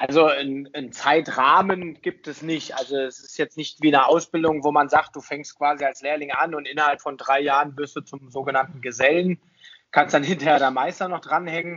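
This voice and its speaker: The man's voice is fairly high in pitch, with monotone, flat intonation. He keeps a moderate pace while his loudness swings a lot. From Germany, Hesse (Taunus). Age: 30s. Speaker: ice hockey referee. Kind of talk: podcast interview.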